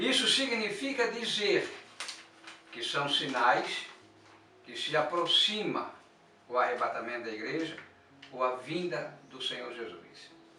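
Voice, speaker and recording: Music plays in the background and room echo is audible as a man speaks at a very slow pace, with long, frequent pauses and big swings in loudness. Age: 60s. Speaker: church elder and prophecy teacher. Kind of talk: religious teaching monologue.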